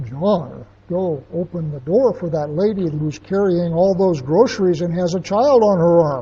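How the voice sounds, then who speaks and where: A booming, put-on character voice at middle pitch runs at a moderate pace with hardly any pauses. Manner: commanding.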